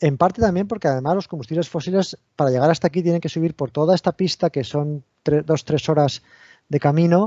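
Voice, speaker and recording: In a fairly high voice, a man races through his words at a very fast pace. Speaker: university researcher, engineer. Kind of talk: technical talk at online seminar. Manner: hesitant, many repeated words and fillers.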